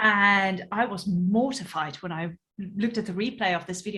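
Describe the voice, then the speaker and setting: Speaking at a moderate pace, a woman with a South African accent has a bright, sharp tone. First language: Afrikaans. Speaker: podcast host, entrepreneur. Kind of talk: casual interview chat.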